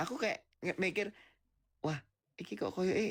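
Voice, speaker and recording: A soft-spoken man with a high-pitched voice on a very clean recording with a silent background. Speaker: reality show contestant. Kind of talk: casual chat. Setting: live TikTok stream.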